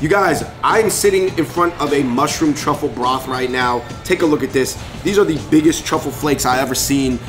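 A man talking with hardly any pauses over clear music in the background. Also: ordinary pitch variation, moderate pace. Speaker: food vlogger. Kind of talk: casual vlog chat. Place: cafe.

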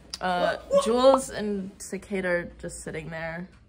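There is loud background noise while a woman speaks. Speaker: cosplay vlogger. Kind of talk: casual vlog chat. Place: home room. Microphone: phone near.

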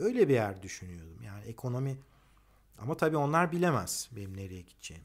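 A man speaks with very wide pitch swings against a quiet background. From Turkey. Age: 50s. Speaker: economist and engineer. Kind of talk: personal monologue; personal talk, monologue. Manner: hesitant, many fillers. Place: garden. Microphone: phone near.

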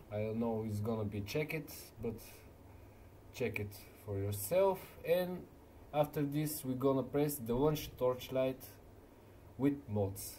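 A man with a non-native accent talks at a medium pitch and a fairly slow pace, with lively intonation. He leaves long, frequent pauses. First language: not English. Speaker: gaming video maker. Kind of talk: tutorial. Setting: screen recording voiceover. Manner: halting, hesitant with fillers.

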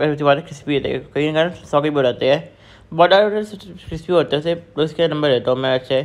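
A man talks with fairly even intonation at a moderate pace. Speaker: food vlogger. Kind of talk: casual vlog chat. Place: cafe. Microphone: phone near.

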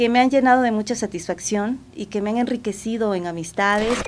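Light background noise sits behind a woman talking at a fairly quick pace with fairly even intonation. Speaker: radio announcer. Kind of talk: interview answer. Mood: warm, grateful, enthusiastic. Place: studio.

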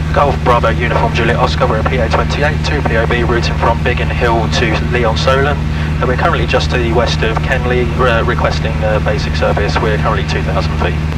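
Over loud background noise, a man talks at a fairly quick pace with hardly any pauses, the sound dry and free of echo. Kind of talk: radio calls to air traffic control. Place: plane. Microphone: headset.

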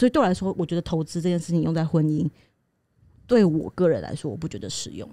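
A woman talks at a very fast pace with a fairly low pitch, a dark, mellow tone, and vocal fry. Her intonation is lively, her loudness swings widely, and the sound is dry with no echo. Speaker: podcast co-host. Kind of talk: casual chat. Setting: studio. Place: studio. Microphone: studio mic.

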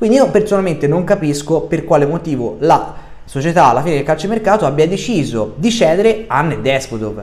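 The voice moves at a fairly quick pace with very wide pitch swings. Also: man, fairly high pitch for a man. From Sardinia. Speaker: football YouTuber. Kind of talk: monologue video commentary. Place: home room. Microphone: webcam.

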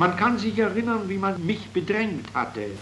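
Light background noise sits under a man's speech. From Silesia. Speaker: writer. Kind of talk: reading of own prose. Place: home room. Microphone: old recording.

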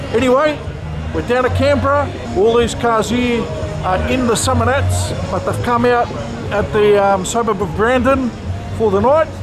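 Moderate pace with long, frequent pauses over clear background music. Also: man. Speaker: car vlogger. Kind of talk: casual vlog chat. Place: street. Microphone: phone near.

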